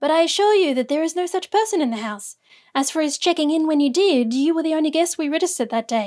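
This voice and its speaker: A woman puts on a squeaky character voice at an extremely high pitch, speaking at a very fast pace with lively intonation. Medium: read story. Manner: dubious, curt.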